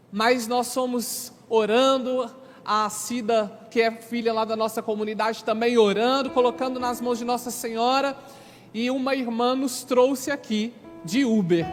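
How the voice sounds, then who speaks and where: Over noticeable background noise, the speaker talks at a fairly slow pace with fairly even intonation. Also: man, extremely high pitch for a man. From Brazil, Minas Gerais (Sete Lagoas). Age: 30s. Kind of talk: religious testimony to an audience.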